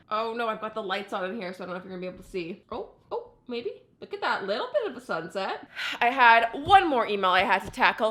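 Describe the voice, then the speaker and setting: Over noticeable background noise, a woman talks very fast in an animated tone with big swings in loudness. Her pitch is fairly high, with ordinary pitch variation. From Canada. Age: 20s. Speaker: lifestyle vlogger. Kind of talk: casual vlog.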